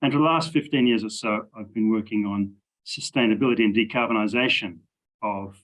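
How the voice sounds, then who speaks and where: A man with an Australian accent at a fairly quick pace against a quiet background. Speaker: engineering professor. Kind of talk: interview.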